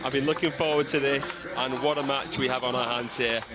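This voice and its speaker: With a Yorkshire accent, a man talks at a very fast pace. His intonation is fairly even, and background noise is noticeable. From northern England. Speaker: table tennis commentator. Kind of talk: live commentary.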